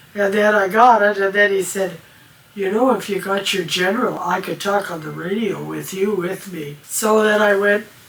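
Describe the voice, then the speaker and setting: A woman at a medium pitch speaks at a moderate pace with fairly even intonation, and noticeable background noise runs underneath. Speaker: amateur radio operator. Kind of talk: interview. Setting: at home.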